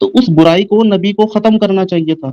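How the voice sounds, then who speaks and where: The voice is a man's, with a dark, mellow tone. He speaks at a moderate pace, and the sound is dry and close with no echo. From India. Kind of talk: casual debate discussion.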